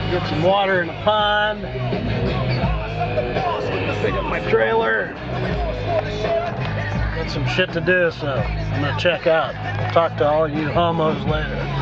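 Over loud background music, a man talks at a fairly slow pace with long, frequent pauses. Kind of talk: casual vlog chat. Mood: relaxed, joking. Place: car. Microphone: phone near.

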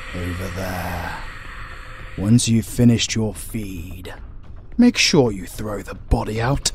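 A man uses a put-on character voice at a medium pitch. He goes at a fairly slow pace over clear background noise. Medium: audio drama. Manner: formal, measured, haughty.

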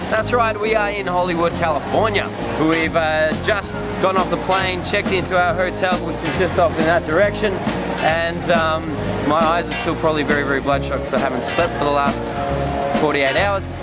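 Loud music plays in the background as a man speaks at a fairly quick pace with ordinary pitch variation. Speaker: web-series host. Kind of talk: casual vlog chat. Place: street. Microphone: phone near.

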